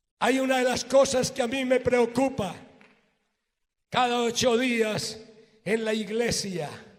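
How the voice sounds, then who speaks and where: A man's extremely high-pitched, very slow speech with fairly even intonation, long, frequent pauses, and audible room echo. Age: 60s. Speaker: pastor. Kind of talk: sermon.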